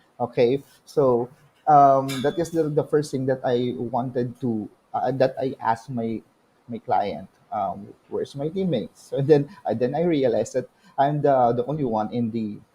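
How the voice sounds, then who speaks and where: Somewhat breathy and dark, mellow in tone, a man speaks at a moderate pace and medium pitch with ordinary pitch variation. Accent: Filipino. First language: Tagalog. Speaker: virtual assistant. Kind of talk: testimony. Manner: halting.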